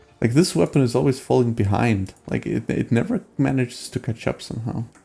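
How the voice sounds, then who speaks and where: The voice has a dark, mellow tone with vocal fry and ordinary pitch variation. It moves at a fairly quick pace. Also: man, medium pitch for a man. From Denmark. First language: Danish. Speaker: gaming streamer. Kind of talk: live stream gameplay commentary and chat with viewers. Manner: casual, with many fillers and hesitations.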